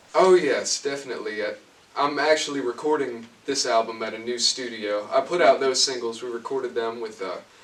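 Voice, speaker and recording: A man at a fairly quick pace, medium pitch with ordinary variation, against noticeable background noise. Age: young. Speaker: young country singer-songwriter. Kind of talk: interview.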